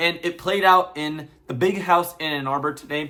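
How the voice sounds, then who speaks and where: Animated in tone, a man with a fairly high pitch and a bright, sharp tone talks at a moderate pace. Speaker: sports fan vlogger. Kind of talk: casual vlog commentary.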